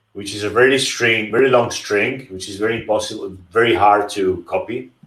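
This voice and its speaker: A man talks with ordinary pitch variation against a quiet background. Some room echo is audible. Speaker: livestream host teaching crypto wallets. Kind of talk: tutorial. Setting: live stream with screen share. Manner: slow, deliberate; hesitant, repeats words. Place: home room.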